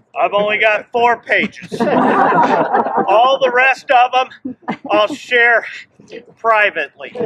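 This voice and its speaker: A man projects a raised voice at an extremely high pitch. He speaks very slowly, his loudness very even. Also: ordinary pitch variation. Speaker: friend giving tribute. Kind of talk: memorial tribute speech. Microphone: no microphone.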